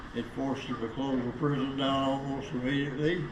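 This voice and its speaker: A man with an American accent talks at a moderate pace and a fairly high pitch. Audible room echo and noticeable background noise are present. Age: 90s. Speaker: former prison inmate. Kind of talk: interview.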